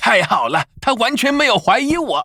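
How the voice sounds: This cartoonish character voice has a bright, sharp tone with big pitch swings and a slightly husky edge.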